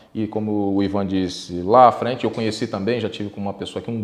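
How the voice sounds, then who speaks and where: Talking at a fairly quick pace, a man with a Brazilian accent keeps a fairly low pitch and a flat, monotone intonation. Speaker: podcast host. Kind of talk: interview. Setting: studio.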